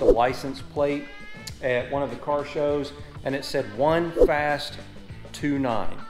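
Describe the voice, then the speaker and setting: A man with ordinary pitch variation, audible room echo and clear music in the background. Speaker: car channel host. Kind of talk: casual vlog chat. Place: garage. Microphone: phone near.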